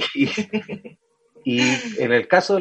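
The intonation is lively. The pace is moderate. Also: man. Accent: Chilean. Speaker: podcast host. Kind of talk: casual interview chat.

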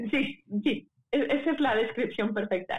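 A woman speaks with a Mexican accent. Her pitch varies in an ordinary way. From Puebla, Mexico. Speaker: opera singer. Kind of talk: casual interview.

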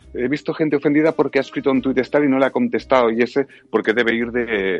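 With ordinary pitch variation and a medium pitch, a man speaks at a very fast pace. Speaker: voice actor. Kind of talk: casual chat.

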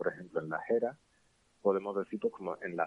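A man with a fairly low pitch. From Andalusia, Cádiz. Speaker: linguist. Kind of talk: interview.

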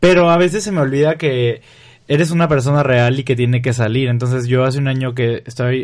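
Here is a man with an ordinary speaking voice at medium pitch. His pitch varies in an ordinary way, and his pace is fairly quick. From Mexico, Río Verde, San Luis Potosí. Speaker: content creator and photographer. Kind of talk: casual interview.

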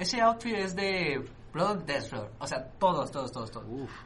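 A man speaks in a raised, projected voice with very wide pitch swings. Room echo can be heard around him. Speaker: podcast host. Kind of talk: casual chat.

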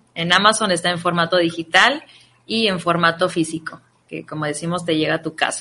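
Here is a woman with an ordinary speaking voice, pitched fairly low. She talks at a fairly quick pace with fairly even intonation. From Ciudad Obregón, Sonora, Mexico. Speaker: psychologist and author. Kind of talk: radio interview.

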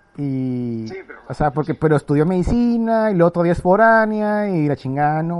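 Lively intonation runs through a man's high-pitched voice with a Mexican accent. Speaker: podcast host, physician. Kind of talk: casual chat.

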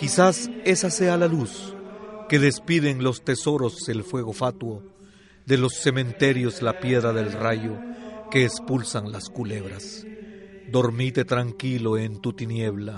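A man speaks in a solemn tone at a very slow pace, with very wide pitch swings. Noticeable background noise is present. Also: medium pitch for a man. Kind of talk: poetry reading, solemn elegy read aloud. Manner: solemn, measured, tender; lyrical, reverent.

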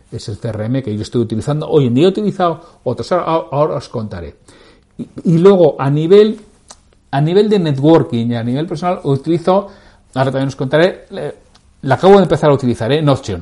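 With a dark, mellow tone that is somewhat breathy, a man talks at a fairly quick pace and a fairly high pitch. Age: 60s. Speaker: podcast host, sales leadership coach. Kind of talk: casual solo podcast talk.

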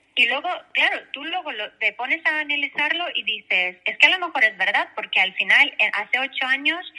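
Here a woman talks at a moderate pace. Her pitch swings very widely. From Belarus. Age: 30s. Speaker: interview guest. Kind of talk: casual interview.

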